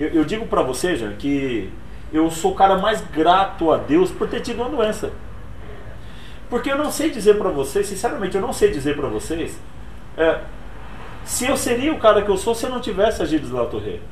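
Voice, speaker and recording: A man's high-pitched voice with very wide pitch swings, a moderate pace, and long, frequent pauses, set against noticeable background noise and audible room echo. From Brazil, Pernambuco (Altinho), moved to São Paulo at 10. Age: 40s. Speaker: motivational speaker and author. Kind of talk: interview. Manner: casual.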